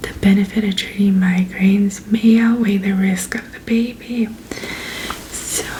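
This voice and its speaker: A soft-spoken woman talks in a calm tone with monotone, flat intonation. Noticeable background noise runs underneath. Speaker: ASMR creator, pharmacist roleplay. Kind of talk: ASMR roleplay briefing. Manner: soft-spoken, calm.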